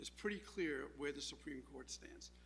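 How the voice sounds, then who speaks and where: A man speaks at a moderate pace. Room echo is audible around his voice. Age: 70s. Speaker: public commenter at town meeting. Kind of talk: public comment speech. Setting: town council meeting room.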